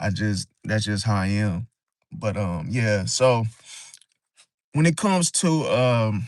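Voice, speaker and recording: A man speaks at medium pitch and a very slow pace. Long pauses come often. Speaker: astrology livestreamer. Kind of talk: live stream talk. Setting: live stream. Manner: monotone; dry, flat delivery.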